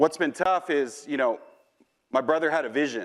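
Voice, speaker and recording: There is a quiet background as a man speaks in an animated tone, fairly high in pitch with ordinary pitch variation. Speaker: mortgage executive and conference speaker. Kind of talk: conference talk. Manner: fast.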